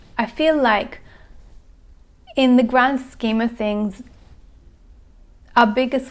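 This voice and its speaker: A woman speaks at a very slow pace. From Austria and Italy. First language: not English. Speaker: personal growth educator. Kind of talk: workshop talk. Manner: occasional halting.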